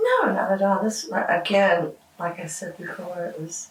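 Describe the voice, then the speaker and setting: Over noticeable background noise, a woman with a Southern US accent talks at a fairly slow pace. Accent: Southern American. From Georgia, USA. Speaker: rock musician. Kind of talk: interview answer. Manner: casual, hesitant.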